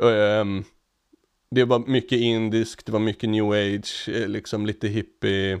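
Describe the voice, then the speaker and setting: A man's monotone, flat delivery at a fairly slow pace, broken by long, frequent pauses, over a quiet background. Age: 30s. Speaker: podcast co-host. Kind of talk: casual chat. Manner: halting.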